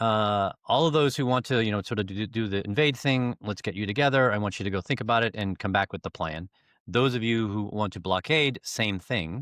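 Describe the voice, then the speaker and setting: This is a man with a fairly low pitch. His pitch varies in an ordinary way. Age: 60s. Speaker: leadership coach. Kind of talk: interview. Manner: halting, many fillers.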